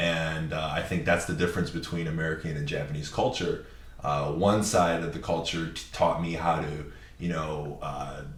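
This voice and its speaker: Over noticeable background noise and audible room echo, a man speaks with a very deep, low pitch and fairly even intonation. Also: moderate pace. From Japan. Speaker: videographer and content creator. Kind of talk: podcast interview.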